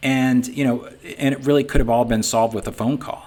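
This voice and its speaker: A man is speaking. He talks with a Boston accent. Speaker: sign business owner and software founder. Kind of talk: business webinar talk. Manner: casual, conversational with many fillers.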